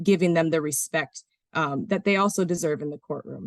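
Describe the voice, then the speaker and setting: A woman's fairly low voice, with ordinary pitch variation, comes through with a dry, close sound and no echo. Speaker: prosecutor. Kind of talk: webinar presentation. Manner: fast.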